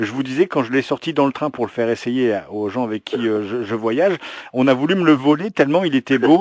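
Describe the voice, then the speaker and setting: This is a normal speaking voice from a man at a medium pitch, with lively intonation, a fairly quick pace and a dry, close sound with no echo. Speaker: interviewer, channel host. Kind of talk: interview questions to camera.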